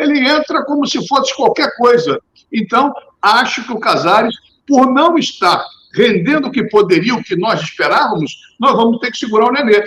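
This man's pitch is extremely high. He talks at a moderate pace with lively intonation. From Rio de Janeiro, Brazil. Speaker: journalist and radio presenter. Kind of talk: casual podcast chat about football.

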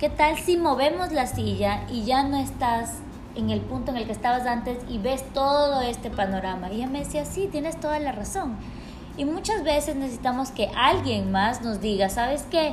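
A woman speaks at a moderate pace with lively intonation and a high pitch. Room echo is audible, and background noise is noticeable. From Ecuador, Quito. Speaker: podcast co-host. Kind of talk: casual chat.

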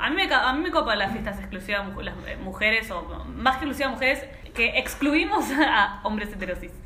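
With a Rioplatense accent, a woman speaks at a fairly quick pace in a fairly high pitch with lively intonation, while audible room echo and noticeable background noise fill the recording. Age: 30s. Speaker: podcast co-host. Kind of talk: casual chat.

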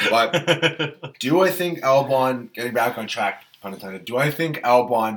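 Here is a man with a normal speaking voice at a medium pitch. His pitch variation is ordinary, and his pace is fairly slow. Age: 20s. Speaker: F1 podcast co-host. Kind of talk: casual chat.

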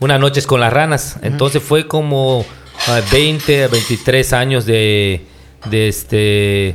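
A man speaks at a medium pitch and a very slow pace. His loudness stays very even. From Yucatán, Mexico. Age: 40s. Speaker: pastor. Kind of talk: casual interview. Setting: on location, not in the studio.

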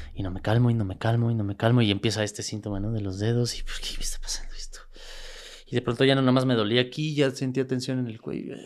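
Speaking at a very fast pace in a Mexico City accent, a man with medium pitch comes through in a very clean recording with a silent background. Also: fairly even intonation. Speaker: world champion athlete and motivational speaker. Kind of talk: interview.

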